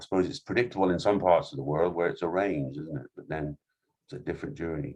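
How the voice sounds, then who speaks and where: A man talks at a very fast pace in a very deep, low voice with vocal fry. His intonation is lively and his loudness swings widely. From England. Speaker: company founder and CEO. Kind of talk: webinar Q&A. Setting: Zoom webinar. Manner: halting, many fillers.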